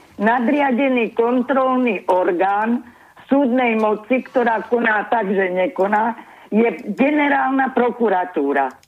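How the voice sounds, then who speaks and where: A woman speaks at a fairly slow pace in a fairly high voice, with lively intonation and very even loudness over noticeable background noise. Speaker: caller. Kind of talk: casual chat. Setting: phone call.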